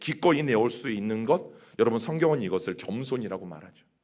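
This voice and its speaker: Lively intonation runs through a man's normal speaking voice, at a medium pitch and a moderate pace. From Chungcheong region, Korea. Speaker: pastor. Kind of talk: sermon. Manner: conversational, addresses congregation directly.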